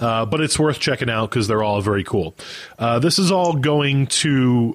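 Here is a man with a normal speaking voice and an American accent. His pitch sits at a medium level with ordinary variation, and his pace is moderate. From United States. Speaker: music podcast host. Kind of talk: casual chat.

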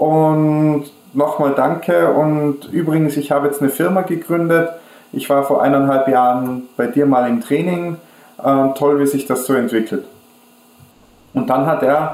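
A man with an Austrian accent and a fairly high pitch, at a fairly slow pace with long, frequent pauses, very even loudness, ordinary pitch variation, and noticeable background noise. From Austria, Kufstein area near German border. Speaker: e-learning company founder. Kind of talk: interview.

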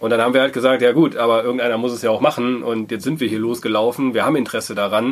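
A man speaks very fast at a medium pitch, his intonation fairly even. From Germany, Wuppertal. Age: 30s. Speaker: co-founder of a social impact hub. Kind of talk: interview.

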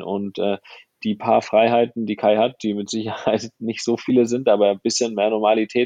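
A man with a fairly low pitch and monotone, flat intonation, in a dry, close sound with no echo. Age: 30s. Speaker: photographer and filmmaker. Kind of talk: casual interview.

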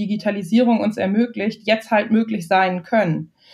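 A woman speaks at a fairly high pitch, somewhat breathy, with ordinary pitch variation. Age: 20s. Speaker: marketing and communications manager. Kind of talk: interview.

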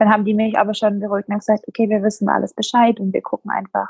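A woman speaks in a somewhat breathy voice at a medium pitch. Her intonation is monotone and flat, with a dry, close sound and no echo. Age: 20s. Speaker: bereaved mother. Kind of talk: personal testimony interview.

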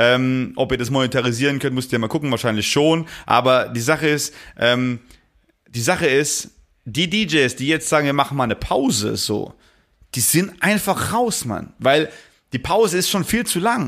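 In a plain, everyday voice, a man talks at a moderate pace with fairly high pitch and lively intonation, on a very clean recording with a silent background. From Palatinate, Germany. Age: 30s. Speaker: DJ and musician. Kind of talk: casual chat.

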